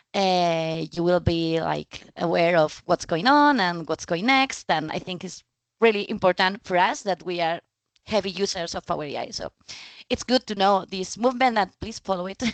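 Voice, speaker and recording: A woman with a Spanish accent speaks at a moderate pace in a medium pitch, with ordinary pitch variation and a dry, close sound that has no echo. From Spain. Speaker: data trainer and speaker. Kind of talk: presentation. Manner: halting, many fillers.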